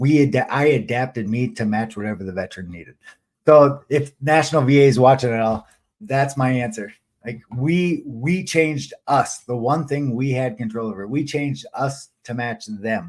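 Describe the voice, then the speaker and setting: A man speaks at medium pitch. His pitch varies in an ordinary way. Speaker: newsletter author and live stream host. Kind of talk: live stream monologue. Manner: fast; halting, many fillers and restarts.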